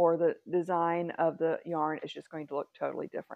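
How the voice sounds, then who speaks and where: In a Texan accent, a woman speaks at a moderate pace and fairly low pitch, in a dry sound with no echo and a quiet background. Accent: Texan Southern US. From Texas. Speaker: craft vlogger. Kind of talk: casual vlog chat. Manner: rambling, chatty. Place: home room. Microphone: lapel.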